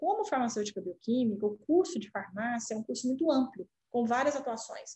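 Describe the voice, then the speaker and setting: A woman with a Minas Gerais accent speaks in a high voice. Her tone is dark and mellow. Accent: Minas Gerais accent, kept. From Brazil, Minas Gerais. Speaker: healthcare company CEO. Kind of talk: interview.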